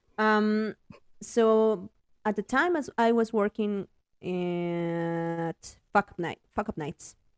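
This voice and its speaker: In a Spanish accent, a woman speaks at a very slow pace, the sound dry and close with no echo. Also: medium pitch for a woman, lively intonation, very clean recording, silent background. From Mexico City. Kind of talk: interview. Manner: hesitant, many fillers and repetitions.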